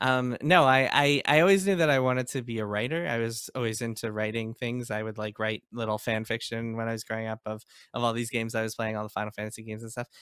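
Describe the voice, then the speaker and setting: In a very clean recording with a silent background, a man at medium pitch talks at a very fast pace with ordinary pitch variation and hardly any pauses. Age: 30s. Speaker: video game journalist and author. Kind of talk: interview. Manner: halting.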